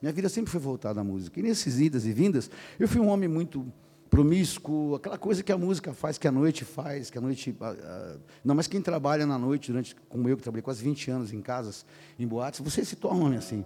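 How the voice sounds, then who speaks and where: Talking at a fairly quick pace, a man with a fairly high pitch and a dark, mellow tone makes very wide pitch swings. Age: 50s. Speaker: pastor. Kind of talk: sermon. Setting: church.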